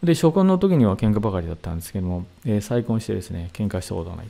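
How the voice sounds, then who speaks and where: Rattling along at a very fast pace, a man speaks in a fairly low, dark, mellow voice with lively intonation. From Saitama, Japan. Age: 60s. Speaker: seminar leader, hypnotherapy and meditation teacher; presenter. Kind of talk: lecture. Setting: online video seminar. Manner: formal, polite, with many fillers.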